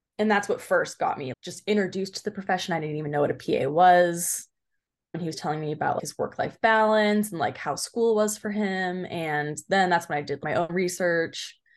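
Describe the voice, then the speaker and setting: A normal speaking voice with an American accent, ordinary pitch variation and a fairly quick pace against a quiet background. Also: woman, medium pitch for a woman. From Southern California, Orange County. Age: 20s. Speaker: PA student. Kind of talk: interview.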